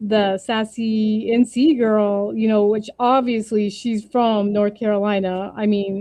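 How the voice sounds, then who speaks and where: A woman speaks at a very slow pace with a dark, mellow tone. Her pitch is fairly high and her intonation fairly even. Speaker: crafting livestream host. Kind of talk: casual chat. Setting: livestream.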